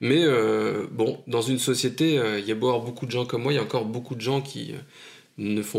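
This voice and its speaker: A man talks with vocal fry at a medium pitch and moderate pace. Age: 40s. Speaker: new father. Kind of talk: testimony.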